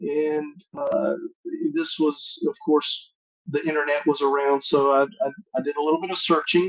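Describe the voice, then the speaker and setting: Speaking at a moderate pace, a man with a North Carolina accent uses fairly even intonation and a fairly high pitch. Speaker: masonic grand master. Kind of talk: interview.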